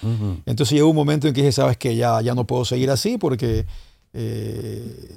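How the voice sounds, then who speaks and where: A man in a normal speaking voice at medium pitch, with ordinary pitch variation and a moderate pace. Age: 50s. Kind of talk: casual chat.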